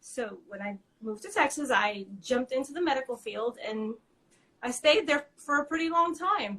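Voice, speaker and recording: At a moderate pace, a woman with a high voice speaks using lively intonation. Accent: American. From New York. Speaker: small business owner. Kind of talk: interview. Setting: live video stream.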